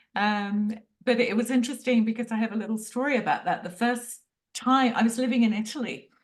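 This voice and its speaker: Fairly high in pitch, a woman talks with an English accent. She moves at a fairly quick pace with fairly even intonation. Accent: English accent, noticeable. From London, England. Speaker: Ayurveda practitioner. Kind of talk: interview.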